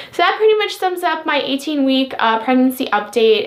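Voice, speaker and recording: A woman's voice amid noticeable background noise. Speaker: pregnancy vlogger. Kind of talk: casual vlog update. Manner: fast; hesitant, many fillers.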